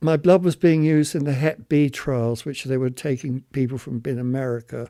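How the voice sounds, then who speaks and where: With a British accent, a man speaks at a moderate pace in a fairly high pitch, his tone dark and mellow and his intonation fairly even, on a very clean recording with a silent background. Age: 70s. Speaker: HIV long-term survivor. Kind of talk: testimony.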